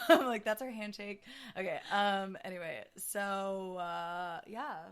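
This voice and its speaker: Loudness rises and falls sharply in this animated voice, which moves at a fairly slow pace with ordinary pitch variation. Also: woman, medium pitch for a woman. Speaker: podcast guest, friend of host. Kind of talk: casual chat.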